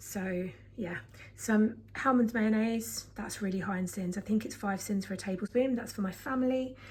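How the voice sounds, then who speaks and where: Somewhat breathy, the speech keeps a moderate pace and a fairly even intonation. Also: woman, medium pitch for a woman. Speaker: vlogger. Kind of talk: casual chat.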